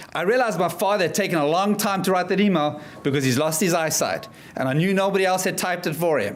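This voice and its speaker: A man with a South African accent, high-pitched and energetic, at a very fast pace with ordinary pitch variation and audible room echo. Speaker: motivational speaker. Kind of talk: keynote speech.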